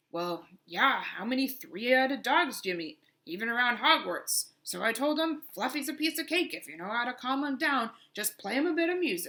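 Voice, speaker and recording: A woman puts on a character voice, pitched high and delivered at a moderate pace. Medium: read story. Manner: rambling, chatty.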